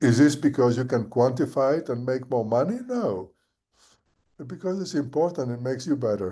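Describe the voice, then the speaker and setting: A man's dark, mellow tone carries at a moderate pace, its pitch varying in an ordinary way. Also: medium pitch for a man, quiet background. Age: 70s. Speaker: professor of architecture. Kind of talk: casual chat. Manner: halting, many repetitions and fillers.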